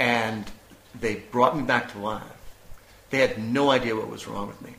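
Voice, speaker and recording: A man speaks at medium pitch and a moderate pace with an American accent. Audible room echo and noticeable background noise come through. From US. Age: 50s. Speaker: illness survivor, former DJ and actor. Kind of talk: interview, personal testimony. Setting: at home.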